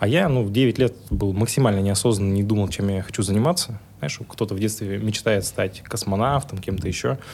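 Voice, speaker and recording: A man with a plain, everyday voice and a fairly low pitch talks at a fairly quick pace with hardly any pauses and ordinary pitch variation. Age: 30s. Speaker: tech entrepreneur. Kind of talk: interview conversation.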